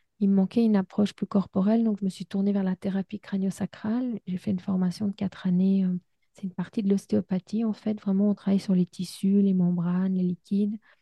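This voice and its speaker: Somewhat breathy and medium in pitch, a woman talks at a fairly quick pace with monotone, flat intonation. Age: 50s. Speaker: psychologist and podcast host. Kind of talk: interview.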